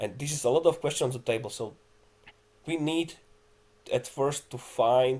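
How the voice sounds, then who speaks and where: Here a man talks at a fairly quick pace. His tone is dark and mellow and somewhat breathy. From Czech Republic. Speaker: metrology expert, task group lead. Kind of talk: online conference panel discussion.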